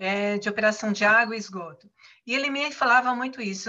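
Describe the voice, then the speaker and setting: A bright, sharp tone from a woman, fairly high in pitch, with ordinary pitch variation. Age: 60s. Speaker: retired consultant and content producer. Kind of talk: casual chat. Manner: halting.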